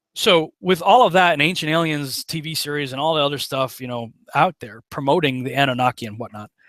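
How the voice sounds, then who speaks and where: With an American accent, a man talks very fast, hardly pausing, with ordinary pitch variation. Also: fairly high pitch for a man, big swings in loudness, dry, close sound with no echo. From western Massachusetts (Chicopee). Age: 40s. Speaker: online preacher and screenwriter, conspiracy researcher. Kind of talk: casual interview chat.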